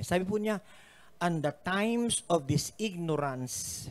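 A man's voice with very wide pitch swings at a fairly slow pace. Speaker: pastor. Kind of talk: sermon. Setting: live-streamed church service. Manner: earnest, preacherly exhortation, mixing Tagalog and English; repeats phrases, pausing with fillers. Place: church. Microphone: handheld.

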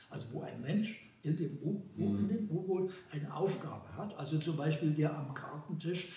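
A man speaks with a fairly high pitch and ordinary pitch variation. The room echo is audible, and there's light background noise. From Germany. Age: 80s+. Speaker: cinematographer. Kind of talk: interview answer. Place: home room.

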